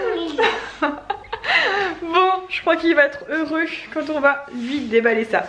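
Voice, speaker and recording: A woman's high, raised, projected voice in a northern French accent, very slow with lively intonation, over noticeable background noise. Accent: northern French (ch'ti). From northern France (Nord). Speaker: lifestyle vlogger. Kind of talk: casual vlog with product review. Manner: hesitant, many fillers.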